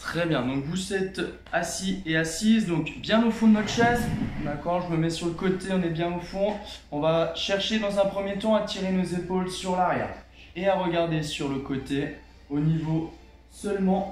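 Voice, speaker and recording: Speaking at a fairly slow pace, a man with a high voice shows ordinary pitch variation amid light background noise and audible room echo. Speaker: fitness instructor. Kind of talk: exercise class instruction. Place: home room. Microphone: camera far.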